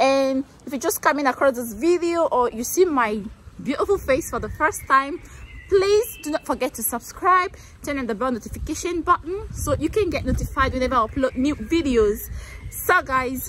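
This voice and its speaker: Lively intonation carries the speech at a moderate pace over light background noise. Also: woman, high pitch for a woman. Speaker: vlogger. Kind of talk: casual vlog chat. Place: street. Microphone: phone near.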